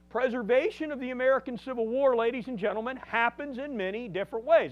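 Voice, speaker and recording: A man speaks loudly at an extremely high pitch. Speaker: museum director and battlefield guide. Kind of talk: public lecture.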